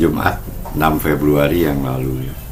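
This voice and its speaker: A man is speaking with audible room echo. Noticeable background noise can be heard too. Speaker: market review presenter. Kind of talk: online market review presentation. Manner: halting with fillers.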